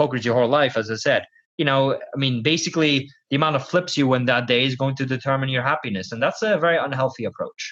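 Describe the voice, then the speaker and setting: A man with a Dutch accent talks very fast in a fairly high voice, his pitch moving in an ordinary way. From Netherlands. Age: 20s. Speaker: professional poker player and coach. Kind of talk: podcast interview.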